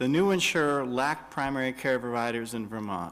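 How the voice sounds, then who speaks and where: A man talks in an ordinary speaking voice at a moderate pace, with ordinary pitch variation. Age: 60s. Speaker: health care activist. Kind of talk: public testimony. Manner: formal.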